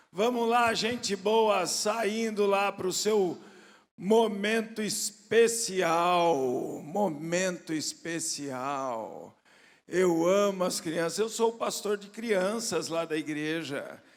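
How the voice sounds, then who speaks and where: Speaking very slowly in a room with audible echo, a man uses a high pitch with ordinary pitch variation. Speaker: pastor. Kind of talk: sermon. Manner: animated.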